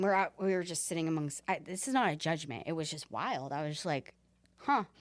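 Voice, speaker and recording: A woman talks at a fairly quick pace in a normal speaking voice with an American accent. Her pitch is fairly low and her intonation is lively. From United States. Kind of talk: casual chat. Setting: train station.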